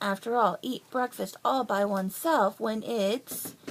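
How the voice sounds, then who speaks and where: Using a put-on character voice, the woman pitches it in her medium range. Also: fairly slow pace. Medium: read story.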